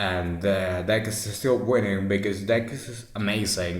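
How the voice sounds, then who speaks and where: Speaking fairly slowly with a non-native accent, a man sounds somewhat breathy. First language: non-native English speaker. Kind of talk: casual deck explanation to camera.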